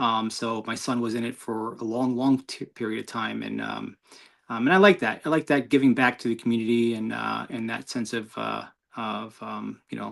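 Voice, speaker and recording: A man with a New York accent talks at a moderate pace. The recording is very clean, with a silent background. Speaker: motorcyclist. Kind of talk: interview. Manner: halting.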